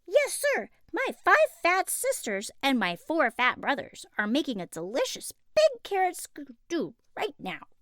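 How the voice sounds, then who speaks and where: Using a put-on character voice, a woman talks at a fairly slow pace in an extremely high pitch. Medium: read story. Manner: eager.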